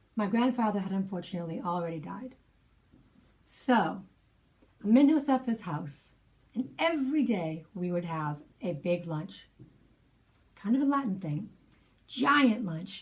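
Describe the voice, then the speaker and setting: A woman's somewhat breathy voice at a fairly slow pace, with long, frequent pauses and very wide pitch swings. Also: medium pitch for a woman. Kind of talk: personal storytelling, spoken memoir.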